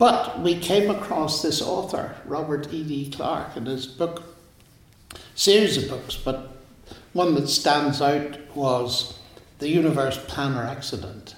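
A very slow-speaking man with a Northern Irish accent, a fairly high voice and lively intonation, plus noticeable background noise and audible room echo. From Northern Ireland. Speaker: mathematician and author. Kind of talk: interview. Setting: in person at a college.

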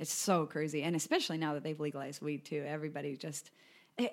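A woman with a Californian accent and a very deep, low pitch, in a very clean recording with a silent background. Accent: American, laid-back Californian-sounding. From US, Colorado. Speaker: podcast host. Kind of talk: casual chat.

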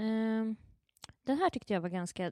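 The voice has a dark, mellow tone and lively intonation, moving at a moderate pace. The sound is dry and close with no echo, in a very clean recording with a silent background. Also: woman. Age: 20s. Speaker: entertainment editor and blogger. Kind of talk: casual chat.

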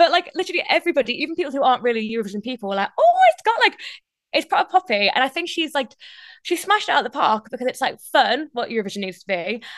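A woman speaks at a very fast pace with a Geordie accent, her pitch swinging very widely. The sound is dry and close, with no echo. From northeast England. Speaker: radio presenter. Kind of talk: interview.

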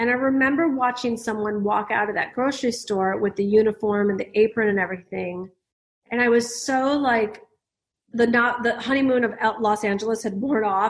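Speaking at a fairly quick pace, a woman uses a fairly high pitch. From US Midwest, Detroit, Michigan. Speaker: business coach and author. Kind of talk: interview. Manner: animated.

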